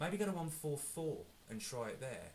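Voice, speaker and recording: With an English accent, a man speaks at a moderate pace amid audible room echo. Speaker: guitar teacher. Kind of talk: tutorial. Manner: casual, hesitant with fillers.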